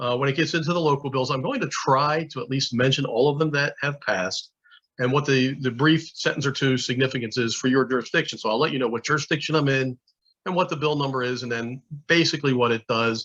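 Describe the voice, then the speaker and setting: A man at a fairly high pitch, talking at a very fast pace with fairly even intonation. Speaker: state alcohol regulator. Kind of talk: conference presentation.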